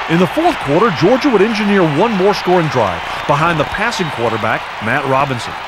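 Over crowd noise in the background, a man with a high pitch speaks at a fairly quick pace, his pitch swinging very widely. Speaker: documentary narrator. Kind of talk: scripted narration. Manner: steady, authoritative, formal.

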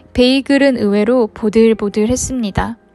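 A woman's fairly high voice at a fairly slow pace with fairly even intonation. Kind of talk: food review narration.

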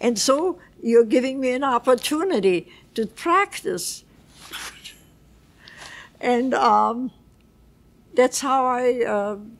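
A woman's high voice with lively intonation, very slow pace and long, frequent pauses. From Vienna, Austria; Austria. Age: 80s+. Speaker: Holocaust survivor. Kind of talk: interview answer. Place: home room. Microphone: lapel.

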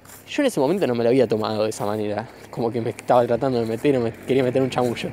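The pace is very fast, with fairly even intonation. Background noise is noticeable. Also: man, medium pitch for a man. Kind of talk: casual talk recorded while walking. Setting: outdoors. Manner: improvised, informal.

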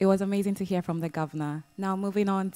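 The tone is dark and mellow. It belongs to a woman. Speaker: event moderator. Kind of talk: moderated panel discussion. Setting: live event in London. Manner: warm and enthusiastic. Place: hall.

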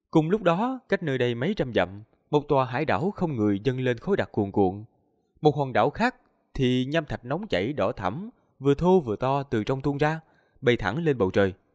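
A man's pitch swings very widely, with quiet in the background. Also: moderate pace. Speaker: audiobook narrator. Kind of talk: story reading narration. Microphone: studio mic.

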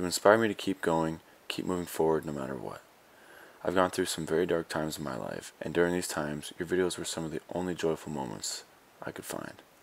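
Very fast pace from a man with a very deep, low pitch and an American accent. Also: ordinary pitch variation. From Minnesota. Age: 20s. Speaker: YouTuber. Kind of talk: reading aloud his own letter.

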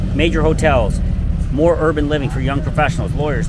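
A man speaks very fast, the sound dry with no echo, while loud noise runs behind him. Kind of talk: casual promotional walk-and-talk. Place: street. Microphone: lapel.

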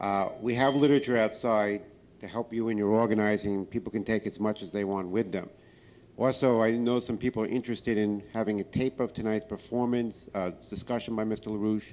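An ordinary speaking voice from a man, fairly low in pitch, with fairly even intonation and a fairly quick pace. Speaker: campaign organizer; event host. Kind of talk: event emcee announcements. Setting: stage with audience. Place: hall. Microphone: handheld.

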